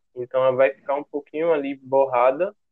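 A man speaks at a fairly quick pace with a fairly high pitch. His intonation stays monotone and flat. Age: 20s. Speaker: photographer. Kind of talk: interview.

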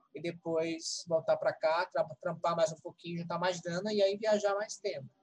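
The pace of this man's speech is moderate. His pitch is high. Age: 40s. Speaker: teacher, writer and therapist. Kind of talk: casual chat.

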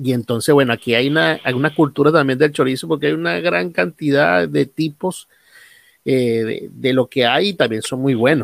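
The recording is very clean, with a silent background. A man with an ordinary speaking voice talks at a moderate pace and medium pitch, with lively intonation. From Venezuela, Guárico. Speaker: podcast host and pastor. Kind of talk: interview. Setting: home recording.

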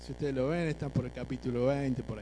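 A man is speaking. His pace is moderate. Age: 50s. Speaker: preacher. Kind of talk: sermon. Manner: halting.

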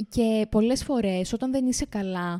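A woman speaks at a fairly slow pace with a dark, mellow tone and fairly even intonation. The sound is dry and close, with no echo. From Crete, village of Damania. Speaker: podcast co-host. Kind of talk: casual chat.

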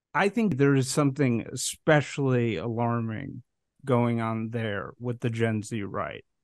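With an American accent, a man speaks in an unremarkable speaking voice at a fairly slow pace. His pitch is medium, with ordinary pitch variation. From US Midwest, Chicago. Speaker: podcast host. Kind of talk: interview.

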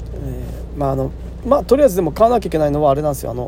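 Noticeable background noise sits under this recording. The man talks very fast. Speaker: farmer and podcast host. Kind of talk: solo casual talk. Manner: casual, rambling with fillers.

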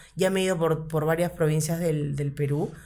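A woman speaks with a fairly low pitch in monotone, flat intonation. Audible room echo surrounds her voice. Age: 40s. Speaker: comedian. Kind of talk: casual chat.

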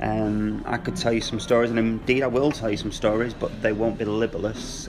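Moderate-paced speech from a man, with audible room echo and noticeable background noise. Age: 30s. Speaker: former ambulance call handler. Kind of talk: casual chat.

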